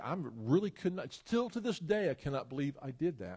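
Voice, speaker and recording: Speaking at a fairly quick pace, a man with a high pitch uses lively intonation and an animated tone. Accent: Tennessee. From US South, Memphis, Tennessee. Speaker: pastor and educator. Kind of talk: sermon.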